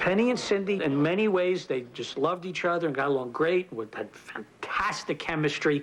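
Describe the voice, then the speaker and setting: Over noticeable background noise, a man with a New York accent talks at a fairly quick pace with hardly any pauses. His pitch is high and his intonation lively. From New York (the Bronx). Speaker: TV comedy writer. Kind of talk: interview.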